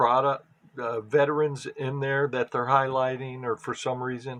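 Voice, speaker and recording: A man mumbles at a moderate pace. His pitch is medium. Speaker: sports card collector. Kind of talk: casual pack opening commentary. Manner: mumbling; halting.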